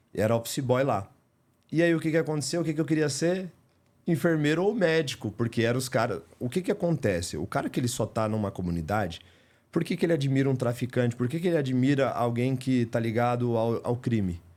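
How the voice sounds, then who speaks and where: A man with a Paulista accent, medium-pitched, talking at a fairly quick pace with lively intonation on a very clean recording against a silent background. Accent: Paulista Brazilian Portuguese. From Greater São Paulo, Brazil (São Caetano). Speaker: house painter turned business owner. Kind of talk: podcast interview. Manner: animated.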